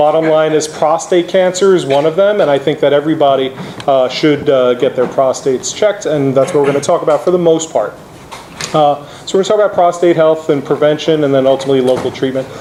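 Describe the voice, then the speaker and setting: A man with an American accent talks at a very fast pace, his pitch fairly high and its variation ordinary. His loudness stays very even, and there is noticeable background noise. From New York City (the Bronx). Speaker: oncologist. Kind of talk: lecture. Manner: animated.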